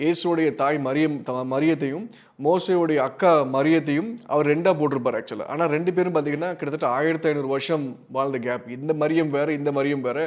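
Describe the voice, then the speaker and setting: An unremarkable speaking voice, this man's is fairly high in pitch, with fairly even intonation. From Tamil Nadu, Tirunelveli. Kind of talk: religious teaching talk.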